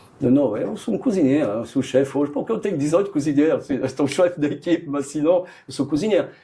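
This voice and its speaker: A man with a French accent has a dark, mellow tone and ordinary pitch variation. He talks at a very fast pace with hardly any pauses. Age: 60s. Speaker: chef. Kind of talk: interview. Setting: studio. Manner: halting, with repetitions and fillers.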